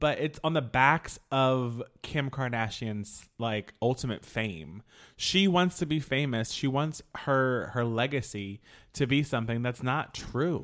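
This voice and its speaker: A man's ordinary speaking voice at a medium pitch with ordinary pitch variation, on a very clean recording with a silent background. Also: fairly slow pace. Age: 40s. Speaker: podcast co-host. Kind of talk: casual chat.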